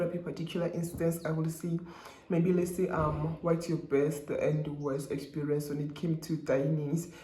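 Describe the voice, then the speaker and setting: At a fairly quick pace, a man with a high pitch talks in a monotone, flat intonation, with audible room echo and noticeable background noise. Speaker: YouTuber, law student. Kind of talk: casual vlog. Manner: fast; casual code-switching, hesitant.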